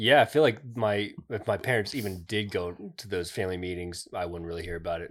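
A man with a fairly low pitch, an unremarkable speaking voice and ordinary pitch variation talks at a fairly quick pace with hardly any pauses and big swings in loudness, in a very clean recording with a silent background. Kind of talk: casual chat.

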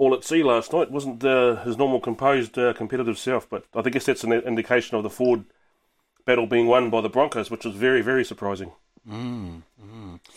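A man with a New Zealand accent talks at medium pitch and a fairly quick pace. The recording is very clean, with a silent background. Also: fairly even intonation. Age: 30s. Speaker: sports radio co-host. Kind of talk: casual chat.

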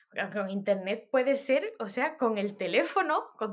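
A woman's pitch makes very wide swings. She talks at a moderate pace. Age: 30s. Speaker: musician. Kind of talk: casual chat.

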